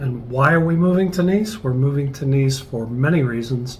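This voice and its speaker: A man talks at a moderate pace and medium pitch. The recording has noticeable background noise and audible room echo. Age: 60s. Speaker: travel vlogger. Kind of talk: casual chat.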